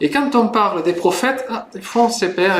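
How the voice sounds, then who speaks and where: Speaking fairly slowly with a Spanish accent, a man uses lively intonation. Audible room echo and noticeable background noise fill the recording. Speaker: preacher, Bible institute student. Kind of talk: sermon. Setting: church service, livestreamed. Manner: hesitant, many fillers.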